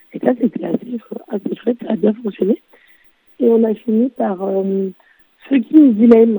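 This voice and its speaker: The speaker is a woman with a dark, mellow tone. Her pitch sits fairly high. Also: ordinary pitch variation, dry, close sound with no echo. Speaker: board game festival reporter. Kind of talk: casual chat. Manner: halting.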